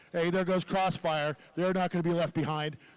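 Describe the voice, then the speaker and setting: Talking at a fairly quick pace, the man has a high pitch. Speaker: robotics match announcer. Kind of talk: live commentary. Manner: loud; animated.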